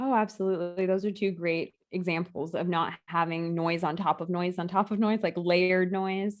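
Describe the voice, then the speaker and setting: A woman with a medium pitch and an ordinary speaking voice talks at a moderate pace with fairly even intonation and hardly any pauses. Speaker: yoga instructor. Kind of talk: interview.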